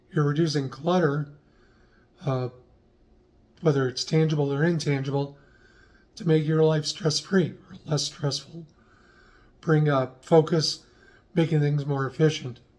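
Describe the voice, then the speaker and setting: A somewhat breathy man's voice, fairly high in pitch, at a fairly slow pace with long, frequent pauses. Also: fairly even intonation. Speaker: lifestyle vlogger. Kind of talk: casual talk to camera.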